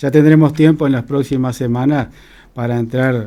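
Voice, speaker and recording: This man has a dark, mellow tone at a medium pitch, speaking at a moderate pace with fairly even intonation. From Uruguay, Colonia/Soriano interior (Cardona). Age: 60s. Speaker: political candidate, agronomist. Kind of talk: radio interview.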